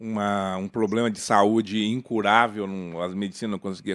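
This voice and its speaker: On a very clean recording with a silent background, a man with an unremarkable speaking voice talks at a fairly slow pace, with ordinary pitch variation. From Paraná, Brazil (Jacarezinho). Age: 60s. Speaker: spiritist lawyer. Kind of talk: podcast interview.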